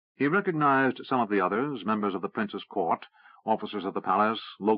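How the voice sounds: This is a natural reading voice. The words come across as read aloud.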